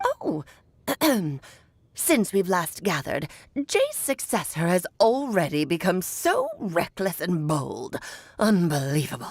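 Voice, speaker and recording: Someone speaks in a put-on character voice. Long pauses come often. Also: woman, medium pitch for a woman, fairly slow pace. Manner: haughty, scolding.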